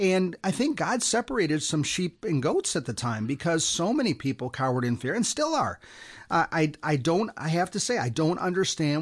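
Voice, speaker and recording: Against a quiet background, a man with an ordinary speaking voice talks fairly quickly at a fairly high pitch, with lively intonation and hardly any pauses. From US Midwest. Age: 60s. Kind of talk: radio interview.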